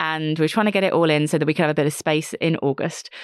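This woman has an ordinary speaking voice, fairly low in pitch, at a fairly quick pace. The sound is dry and close, with no echo. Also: quiet background. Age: 40s. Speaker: entrepreneur and careers author. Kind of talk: interview.

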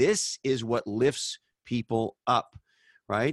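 A man at medium pitch speaks in an animated tone. The sound is dry and close with no echo, over a quiet background. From Canada. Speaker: author, podcaster and former tech marketing executive. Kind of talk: casual interview chat. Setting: video call.

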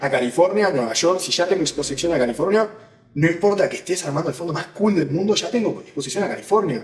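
The voice belongs to a man whose pitch shifts in an ordinary way. Noticeable background noise sits behind him. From Uruguay. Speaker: venture capital investor. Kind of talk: interview.

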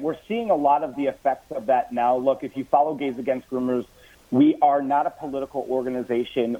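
This is a man with an ordinary speaking voice. His pitch is fairly high and varies in an ordinary way. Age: 30s. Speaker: social media influencer and activist. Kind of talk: call-in interview.

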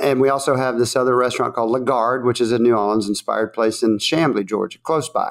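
Speaking with a Southern US accent, a man of medium pitch keeps a fairly quick pace, very even loudness, fairly even intonation and hardly any pauses. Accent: Southern American. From US South. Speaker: chef and restaurant owner. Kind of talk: casual interview chat.

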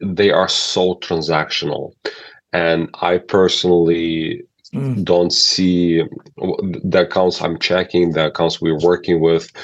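A man speaks at a very slow pace with a very deep, low pitch. His intonation stays fairly even. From Ukraine. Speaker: email marketing agency owner. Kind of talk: interview. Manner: halting.

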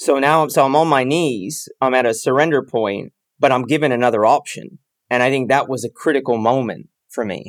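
With a dry, close sound and no echo, a man with an American accent talks at a fairly quick pace in a medium pitch with ordinary pitch variation, on a very clean recording with a silent background. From US West Coast, San Francisco Bay Area. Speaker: habits coach and sales trainer in recovery from addiction. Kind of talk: casual interview conversation.

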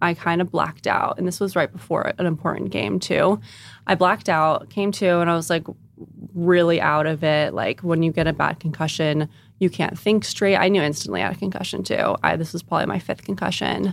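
Her voice sits fairly low and crackles with vocal fry as the woman moves along at a brisk clip. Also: ordinary pitch variation. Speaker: personal chef. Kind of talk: casual interview chat.

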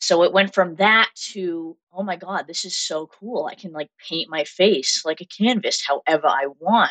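A woman speaks at a moderate pace with ordinary pitch variation and a fairly low pitch. Her tone is fairly bright, and the sound is dry and close with no echo.

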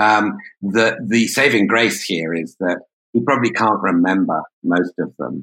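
With a British accent, a man talks fairly slowly in a fairly low pitch and a bright, sharp tone. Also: ordinary pitch variation. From Britain. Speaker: journalist. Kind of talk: interview discussion.

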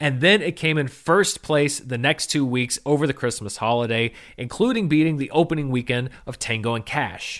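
A man speaks in a plain, everyday voice at a fairly high pitch, with ordinary pitch variation and a fairly quick pace. The recording is very clean, with a silent background. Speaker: film podcast host. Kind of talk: casual solo commentary. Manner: relaxed with frequent fillers.

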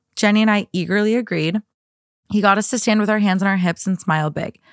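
A woman with an American accent at a very fast pace, medium in pitch, with ordinary pitch variation, on a very clean recording with a silent background and a dry, close sound with no echo. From US Midwest, Minnesota. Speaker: podcast guest co-host. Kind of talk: casual chat.

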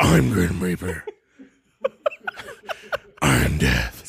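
A man's raspy put-on character voice, very deep and low in pitch. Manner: brooding, dramatic.

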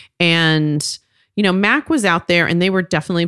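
Fairly quick and fairly even in intonation, a woman's voice sounds dry and close with no echo in a very clean recording with a silent background. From Texas, Fort Worth. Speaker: cosmetics company co-founder. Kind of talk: interview storytelling.

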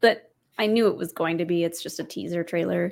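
An ordinary speaking voice with ordinary pitch variation comes through in a very clean recording with a silent background. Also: woman. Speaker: co-host. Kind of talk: casual chat.

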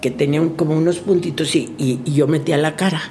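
Speech moves at a moderate pace with fairly even intonation. Noticeable background noise sits behind it. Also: woman. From Monterrey, Mexico. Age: 70s. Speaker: TV presenter and producer. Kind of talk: casual interview storytelling.

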